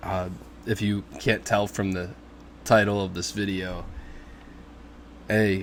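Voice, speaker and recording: Speaking at a very slow pace with long, frequent pauses, a man uses a fairly low pitch. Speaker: fantasy football YouTuber. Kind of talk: casual vlog commentary. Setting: living room at home. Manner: hesitant, many filler words.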